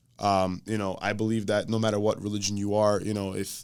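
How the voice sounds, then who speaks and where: A man speaks at a fairly low pitch. The recording is very clean, with a silent background. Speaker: gym owner and entrepreneur. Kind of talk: casual podcast interview. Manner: fast; animated.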